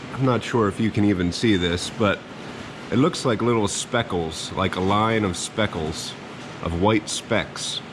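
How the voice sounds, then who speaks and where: Over noticeable background noise, a man with a fairly low pitch talks at a fairly slow pace, his pitch varying in an ordinary way and his loudness very even. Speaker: print shop owner. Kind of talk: tutorial.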